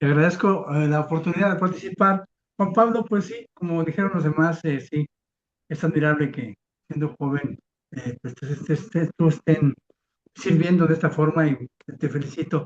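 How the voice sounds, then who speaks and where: A man's fairly high voice at a moderate pace, with ordinary pitch variation and a dry, close sound with no echo. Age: 60s. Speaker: recovery group member. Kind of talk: sharing at a support group. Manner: halting, repeats words.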